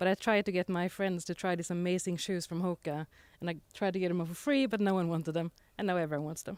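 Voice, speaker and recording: Talking at a fairly quick pace with a Swedish accent, a woman at medium pitch keeps her intonation fairly even, recorded very cleanly against a silent background with a dry, close sound and no echo. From Sweden, Gotland. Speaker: panelist, e-commerce executive. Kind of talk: panel discussion.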